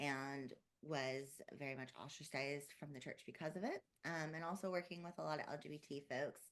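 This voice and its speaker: The speaker is soft-spoken, with fairly even intonation and a fairly quick pace. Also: woman, very deep, low pitch for a woman. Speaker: therapist. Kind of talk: panel discussion. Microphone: too quiet.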